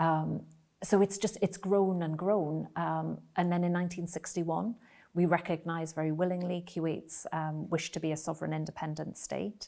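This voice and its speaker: On a very clean recording with a silent background, a woman with a Geordie accent speaks at a moderate pace in a very deep, dark, mellow voice. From northern England, Newcastle. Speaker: ambassador. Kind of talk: interview. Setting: embassy residence. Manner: hesitant with filler words.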